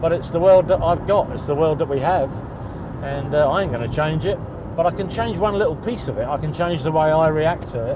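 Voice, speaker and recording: Noticeable background noise and audible room echo fill the recording. A man with a fairly high pitch talks at a fairly quick pace. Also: ordinary pitch variation. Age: 60s. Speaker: interviewee living with bipolar disorder. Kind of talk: documentary interview.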